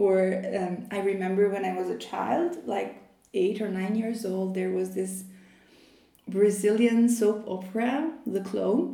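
A woman with an Albanian accent speaks at a fairly slow pace, with audible room echo. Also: medium pitch for a woman, ordinary pitch variation. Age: 20s. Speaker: PhD student in Islamic studies. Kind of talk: interview conversation.

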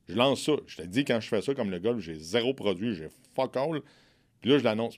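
A man with a Quebec accent, fairly low pitch and lively intonation at a moderate pace, in a very clean recording with a silent background. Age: 40s. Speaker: entrepreneur. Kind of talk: casual interview. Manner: frank, outspoken.

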